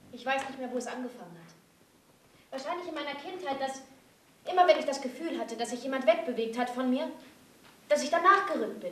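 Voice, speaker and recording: A woman speaks at a high pitch and a fairly quick pace. Her pitch varies in an ordinary way, and room echo is audible. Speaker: actress. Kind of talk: dramatic theatre monologue. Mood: distressed, angry, desperate. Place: stage.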